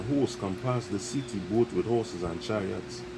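Lively intonation at a moderate pace comes through over noticeable background noise. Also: man. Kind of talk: reading aloud.

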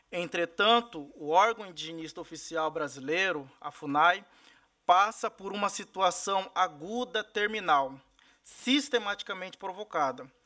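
A man's raised, projected voice, high-pitched with a bright, sharp tone, lively intonation and big swings in loudness, at a fairly slow pace over a quiet background. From Mato Grosso do Sul, Brazil. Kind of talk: formal testimony at a hearing. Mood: serious, concerned. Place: meeting room. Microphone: podium.

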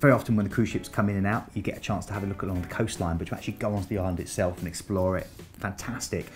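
Clear music plays in the background as a man talks at a very fast pace in a fairly low pitch. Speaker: presenter. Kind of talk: presenter talk to camera. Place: studio. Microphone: lapel.

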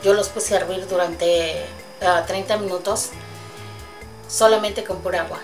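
Loud music plays in the background as a woman speaks at a fairly slow pace. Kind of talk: cooking tutorial. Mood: warm, cheerful. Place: kitchen. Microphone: camera far.

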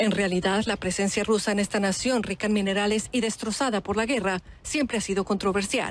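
In a plain, everyday voice, a woman speaks at medium pitch and a fairly quick pace with hardly any pauses. Her loudness stays very even and her intonation fairly even. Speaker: news reporter. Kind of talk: news reading. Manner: grave, measured, solemn narration.

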